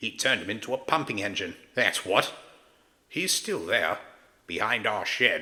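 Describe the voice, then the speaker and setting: A man uses a put-on character voice at a medium pitch and a moderate pace. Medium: read story. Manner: prim, proper, old-fashioned.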